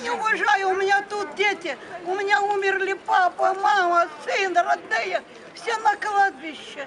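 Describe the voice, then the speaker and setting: Against crowd noise in the background, a woman speaks at an extremely high pitch and a fairly slow pace with ordinary pitch variation. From Ukraine. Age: 80s+. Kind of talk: street argument with young activists.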